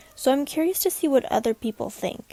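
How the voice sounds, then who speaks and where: With music in the background, a woman speaks in a calm, relaxed tone with lively intonation. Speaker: journaling YouTuber. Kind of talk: voiceover narration of a craft video. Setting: recorded at night while others sleep.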